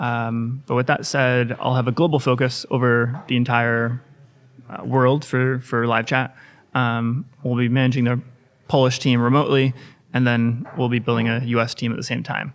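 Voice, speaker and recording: Speaking with an American accent, a man at medium pitch keeps a moderate pace and a monotone, flat intonation on a very clean recording with a silent background. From US. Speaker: sales executive. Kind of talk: podcast interview.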